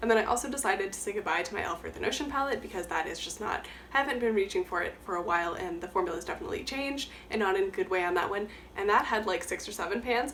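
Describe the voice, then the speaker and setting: Her words come very fast, as this woman speaks at medium pitch with ordinary pitch variation. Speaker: beauty YouTuber. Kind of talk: casual talk to camera.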